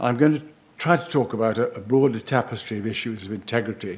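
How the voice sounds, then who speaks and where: A man talks at a moderate pace with a British accent. His pitch sits in the medium range. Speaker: professor. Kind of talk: lecture. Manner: slightly slurred speech after a stroke; halting, many hesitations.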